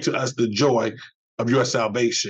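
A man is talking at a moderate speed. Nothing much can be heard behind him. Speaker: bishop leading prayer. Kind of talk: fervent morning prayer, pastoral and devotional, with a short encouraging opening. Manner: earnest, solemn and heartfelt, rising with supplication; measured, rhythmic, preacherly cadence with repeated 'we ask you'. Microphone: webcam.

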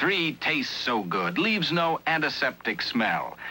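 A fairly slow pace over clear music in the background. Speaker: commercial announcer. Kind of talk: TV commercial read. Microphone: old recording.

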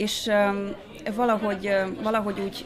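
Crowd noise fills the background. A woman talks with fairly even intonation. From Hungary. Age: 30s. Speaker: pastoral graduate and church worker; pastoral graduate. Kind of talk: interview. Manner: hesitant, many fillers. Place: cafe.

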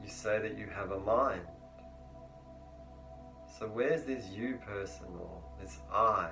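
Over noticeable background noise, a man speaks very slowly at a fairly low pitch with very wide pitch swings and long, frequent pauses. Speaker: meditation teacher. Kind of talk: guided meditation teaching. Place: home room. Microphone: lapel.

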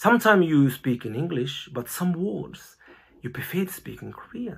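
Over a quiet background, a man speaks at a moderate pace. His voice is somewhat breathy, with lively intonation. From Japan (born in Brazil). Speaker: missionary and TCK college founder. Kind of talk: personal introduction talk to a Sunday school audience. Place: home room. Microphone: phone near.

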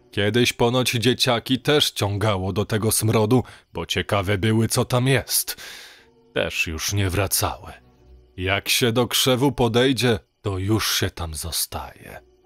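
With music in the background, a man of medium pitch talks at a very slow pace with ordinary pitch variation, in a dry, close sound with no echo. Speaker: audiobook narrator. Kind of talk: horror story narration, reading aloud. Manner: gloomy, hushed, conspiratorial storytelling.

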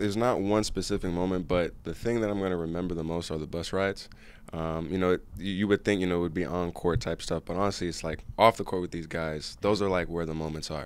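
In a dry sound with no echo, a man with a very deep, low voice talks very fast, with fairly even intonation and hardly any pauses. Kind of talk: interview answer. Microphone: handheld.

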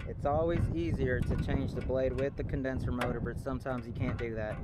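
A man's voice at a moderate pace, dry with no echo, over loud background noise. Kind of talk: tutorial. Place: open country. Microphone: phone near.

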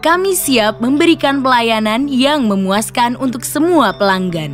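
A woman talks at a fairly slow pace over music in the background. Her fairly high pitch makes very wide swings. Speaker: voice actor. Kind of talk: corporate narration.

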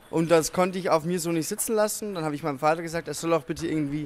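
Through light background noise, a man talks at a very fast pace with ordinary pitch variation. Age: 20s. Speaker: wheelchair table tennis player. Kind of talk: interview. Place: hall. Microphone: handheld.

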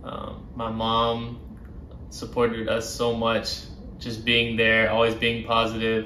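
A man's medium-pitched, monotone voice with flat intonation at a moderate pace, amid light background noise and audible room echo. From Birmingham, Alabama. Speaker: professional soccer player. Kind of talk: interview answers. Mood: warm, reflective. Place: home room.

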